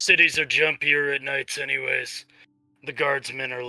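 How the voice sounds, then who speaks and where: Over faint music in the background, a man performs a raspy, put-on character voice at a fairly high pitch and a moderate pace. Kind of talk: robot voice. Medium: actual play. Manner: formal, precise, logical.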